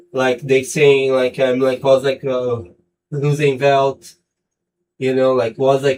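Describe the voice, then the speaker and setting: Speaking with a non-native accent, a man delivers his words at a medium pitch in a monotone, flat intonation. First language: not English. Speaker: sim racing streamer. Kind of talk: casual live stream chat. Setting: home studio live stream. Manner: halting, many fillers.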